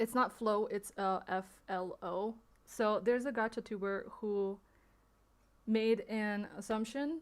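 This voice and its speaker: A woman with a non-native accent and a fairly high pitch talks at a fairly slow pace. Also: fairly even intonation. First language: not English. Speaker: streamer. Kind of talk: livestream statement addressing allegations. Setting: livestream. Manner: hesitant, many fillers.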